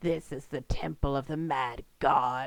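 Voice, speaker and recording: This put-on character voice growls at a low-to-middle pitch. The pace is fairly slow. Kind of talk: archaic. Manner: growling, menacing.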